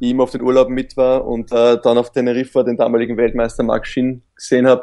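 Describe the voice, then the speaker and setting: A dark, mellow tone at a fairly quick pace. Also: man. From Austria. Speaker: professional kitesurfer. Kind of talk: interview conversation.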